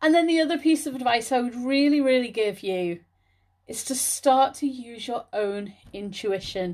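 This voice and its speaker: A woman speaks in a British accent with lively intonation and a high pitch. The background is quiet. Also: moderate pace. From Liverpool area, England. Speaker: spiritual healer and podcast host. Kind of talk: solo podcast talk.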